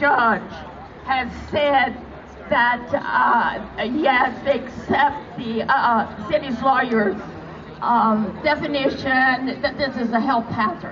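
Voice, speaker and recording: Over crowd noise in the background, the speaker moves at a very slow pace with fairly even intonation. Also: woman. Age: 80s+. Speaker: activist. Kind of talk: protest rally speech.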